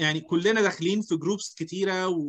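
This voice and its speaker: A man with an Egyptian accent speaks in a high pitch. His pace is moderate. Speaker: HR seminar host. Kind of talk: seminar discussion.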